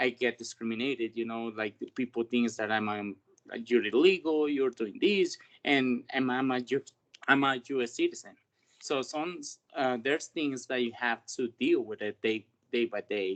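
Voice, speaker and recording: A man at medium pitch with ordinary pitch variation, in a dry, close sound with no echo. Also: moderate pace. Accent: Spanish. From Mexico. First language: Spanish. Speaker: delivery worker. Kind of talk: panel discussion. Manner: halting.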